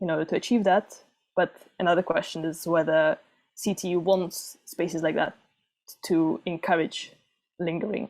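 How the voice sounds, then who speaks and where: With ordinary pitch variation, the delivery runs at a fairly quick pace. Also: woman. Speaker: student presenting thesis research. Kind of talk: academic presentation. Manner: fast.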